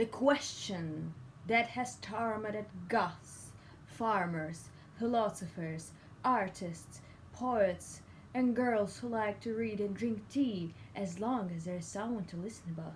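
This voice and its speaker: Her medium-pitched, somewhat breathy voice moves at a very slow pace, with ordinary pitch variation and big swings in loudness. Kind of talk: comedy monologue.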